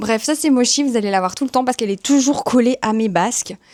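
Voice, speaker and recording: Speaking at a fairly quick pace with a Belgian accent, a woman with a fairly high pitch sounds dry and close, with no echo. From Belgium. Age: 30s. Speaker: YouTuber and communications professional. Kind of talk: casual vlog introduction. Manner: chatty.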